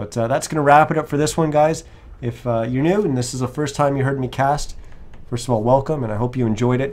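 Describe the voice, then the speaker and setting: Talking at a fairly quick pace, a man has an ordinary speaking voice with medium pitch and ordinary pitch variation. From Canada. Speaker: esports caster. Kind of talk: live commentary.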